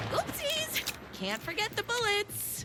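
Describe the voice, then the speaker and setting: In a squeaky, put-on character voice, someone talks at a fairly slow pace over loud background noise. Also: woman, extremely high pitch for a woman. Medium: machinima. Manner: earnest, gushing, comically prim.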